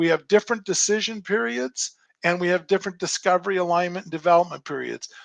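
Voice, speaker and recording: Over a quiet background, a man with a high pitch speaks at a very fast pace, the sound dry and close with no echo. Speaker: project management speaker. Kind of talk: webinar presentation. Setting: live online webinar. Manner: animated.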